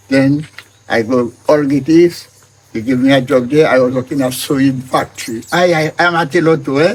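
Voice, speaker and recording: Over noticeable background noise, a man talks at medium pitch and a moderate pace with fairly even intonation. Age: 80s+. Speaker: farmer. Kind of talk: interview answer.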